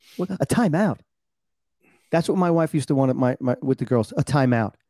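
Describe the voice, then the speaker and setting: A man talks at a fairly quick pace with lively intonation and a dark, mellow tone. The sound is dry and close, with no echo. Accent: New York. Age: 50s. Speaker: podcast host. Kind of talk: casual chat. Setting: video call.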